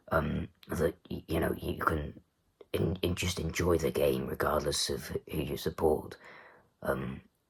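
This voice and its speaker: A man speaks at a fairly slow pace in a very deep, low voice with vocal fry. His intonation stays fairly even. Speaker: darts commentator vlogger. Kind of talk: casual monologue review. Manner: halting, many fillers.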